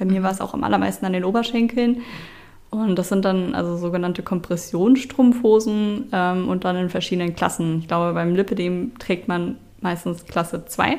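A plain, everyday voice comes through at a moderate pace with ordinary pitch variation on a very clean recording with a silent background. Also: woman, medium pitch for a woman. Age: 20s. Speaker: IT consultant, patient sharing illness experience. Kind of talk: interview testimony.

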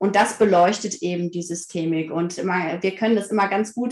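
A woman's unremarkable speaking voice, with ordinary pitch variation and a moderate pace. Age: 30s. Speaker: family counselor and parent coach. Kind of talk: casual interview.

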